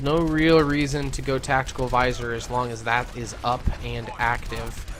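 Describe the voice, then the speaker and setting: A man's voice against noticeable background noise. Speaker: esports shoutcaster. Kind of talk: live commentary. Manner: halting.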